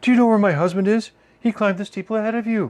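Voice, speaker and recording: A man puts on a high-pitched character voice with fairly even intonation. He talks at a very fast pace. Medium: read story.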